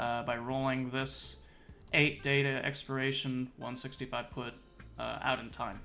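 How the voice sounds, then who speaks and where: A man talks at a moderate pace and medium pitch while music plays behind him. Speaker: options trading streamer. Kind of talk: live market commentary. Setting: live stream with screen share.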